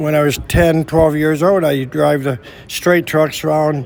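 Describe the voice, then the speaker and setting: A man with a Midwestern American accent speaks at a fairly high pitch, his intonation fairly even. Noticeable background noise sits behind him. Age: 70s. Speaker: veteran truck driver and trucking company owner. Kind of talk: interview. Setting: trucking history event. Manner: halting, repeats words.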